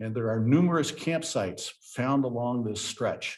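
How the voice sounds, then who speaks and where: With an American accent, a man uses a normal speaking voice at a moderate pace and ordinary pitch variation. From US Ozarks. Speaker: park ranger. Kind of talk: presentation.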